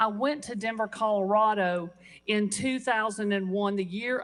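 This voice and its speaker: Speech comes at a moderate pace with ordinary pitch variation. This is an unremarkable speaking voice. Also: woman. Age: 60s. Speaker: state legislator. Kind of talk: floor speech. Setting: legislative chamber.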